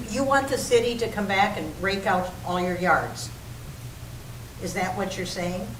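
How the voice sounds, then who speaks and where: A woman at medium pitch and a moderate pace, with ordinary pitch variation, long, frequent pauses, audible room echo and noticeable background noise. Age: 80s+. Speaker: city council member. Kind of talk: public meeting debate.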